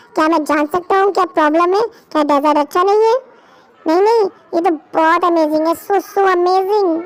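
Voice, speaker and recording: A woman does a put-on character voice, extremely high in pitch and grumpy in tone. She talks at a very fast pace with very even loudness. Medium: audio drama. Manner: grumpy, curt.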